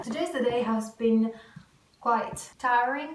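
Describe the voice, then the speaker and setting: Woman with a Greek accent and high pitch, noticeable background noise and audible room echo. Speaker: booktuber vlogger. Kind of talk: casual vlog to camera.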